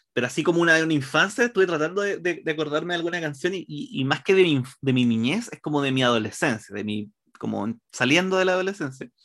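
Lively intonation at a very fast pace, with a Chilean accent. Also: man, fairly high pitch for a man. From Chile, Santiago. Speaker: comedy writer and stand-up comedian. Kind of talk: casual interview chat.

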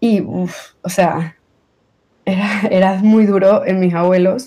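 A woman speaks with a medium pitch and a dark, mellow tone. Her pitch varies in an ordinary way. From Venezuela. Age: 20s. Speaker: accident survivor. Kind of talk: testimony.

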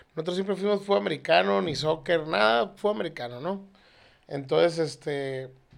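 Here is a plain, everyday voice: a man at a fairly high pitch with lively intonation. He keeps a moderate pace on a very clean recording with a silent background. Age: 30s. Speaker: air conditioning parts seller. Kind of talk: casual chat.

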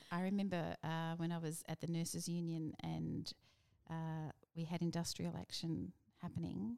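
With an Australian accent, a woman speaks at a moderate pace in a fairly low pitch, her tone dark and mellow, her intonation fairly even, and the sound dry and close with no echo. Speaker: politician, former union leader. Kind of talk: casual interview.

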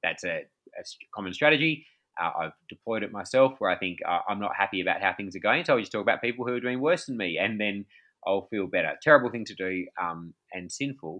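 Speaking at a very fast pace, a man with an Australian accent uses lively intonation at a medium pitch. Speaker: pastor and author. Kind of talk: casual interview. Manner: hesitant, many fillers.

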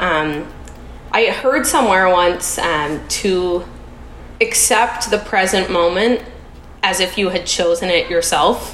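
A woman with a Canadian accent speaks at a very slow pace, with long, frequent pauses, very even loudness, ordinary pitch variation, audible room echo and noticeable background noise. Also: medium pitch for a woman. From Canada, Toronto. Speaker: Montessori teacher, podcast guest in recovery. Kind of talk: casual interview.

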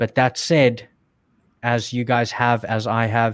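A man with a South African accent speaks at a medium pitch and a fairly slow pace, his intonation monotone and flat. The recording is very clean, with a silent background and a dry, close sound free of echo. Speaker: online seller and video creator. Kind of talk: podcast interview.

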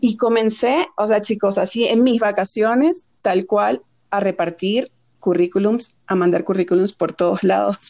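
Keeping her loudness very even, a woman speaks at a fairly slow pace in a dark, mellow tone, with a medium pitch and ordinary pitch variation. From Venezuela. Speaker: fashion and beauty editor. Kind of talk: podcast interview.

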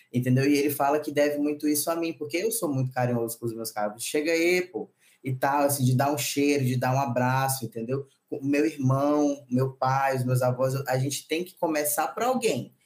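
Using a plain, everyday voice, a man with a fairly high pitch speaks with ordinary pitch variation. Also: moderate pace. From Maranhão, northeast Brazil. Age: 30s. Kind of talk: casual chat.

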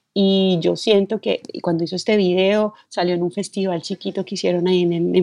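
A woman's voice at medium pitch and a moderate pace. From Colombia, Bogotá. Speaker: film director and screenwriter. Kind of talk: interview. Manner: hesitant, many fillers.

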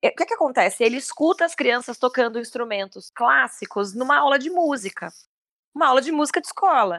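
Animated and fairly quick, a woman speaks at a high pitch with lively intonation in a dry, close recording with no echo. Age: 30s. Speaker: musical theatre actress. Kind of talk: casual chat.

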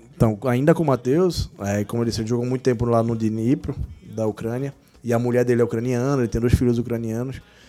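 A man's medium-pitched voice at a very fast pace, fairly even in intonation, over music in the background. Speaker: physiotherapist of a football club. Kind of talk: casual interview.

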